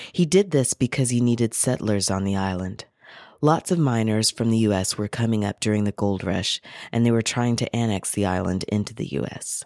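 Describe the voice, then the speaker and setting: A man with an American accent speaks at a fairly quick pace in an ordinary speaking voice, his pitch fairly low with ordinary variation. The recording is very clean with a silent background and a dry, close sound with no echo. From US South (Carolinas). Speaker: radio host. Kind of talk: scripted narration and introductions. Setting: radio studio.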